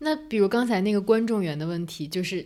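Using a normal speaking voice, a woman talks at a fairly quick pace with ordinary pitch variation. The recording is very clean and the background silent. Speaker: podcast host. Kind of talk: casual chat.

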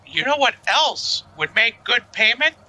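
A fairly slow pace runs through the clip. The voice is a put-on character. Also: man, extremely high pitch for a man, very wide pitch swings. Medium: actual play. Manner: rambling, upbeat, overfriendly.

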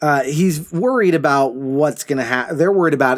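A man with an unremarkable speaking voice sits fairly high in pitch. He talks at a moderate pace. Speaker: podcast co-host. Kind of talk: casual chat. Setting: recording in a closet at home.

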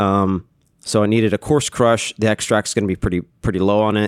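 A man with a normal speaking voice and an American accent, fairly low pitch, moderate pace and fairly even intonation, in a very clean, dry, close recording with no echo and a silent background. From Texas, Austin. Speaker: head brewer. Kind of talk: casual interview.

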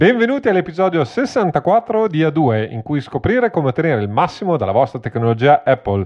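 A man talks at a fairly high pitch with very wide pitch swings. His pace is fairly quick, with hardly any pauses. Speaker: podcast host. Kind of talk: casual chat. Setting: video call. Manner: halting.

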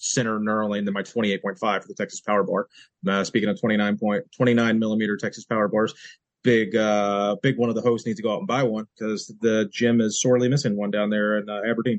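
With fairly even intonation, a man speaks at a fairly low pitch. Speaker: podcast co-host. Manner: fast talker.

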